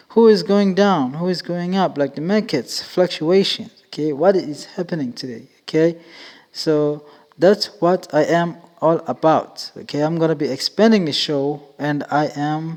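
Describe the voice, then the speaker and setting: A man with a fairly high pitch and an ordinary speaking voice talks at a fairly slow pace with ordinary pitch variation. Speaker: podcast host. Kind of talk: casual podcast monologue.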